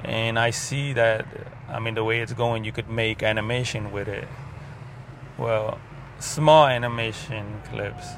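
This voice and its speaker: A man with a medium-pitched voice speaks at a fairly slow pace, taking long, frequent pauses with fairly even intonation. Noticeable background noise and audible room echo surround him. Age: 30s. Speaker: video diarist. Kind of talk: personal vlog monologue. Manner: halting.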